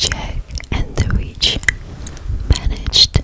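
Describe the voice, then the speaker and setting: A woman whispers quietly at a very slow pace. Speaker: ASMR storyteller. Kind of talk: whispered storytelling. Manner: hushed whisper, hand cupped over mouth. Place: home room. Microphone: studio mic.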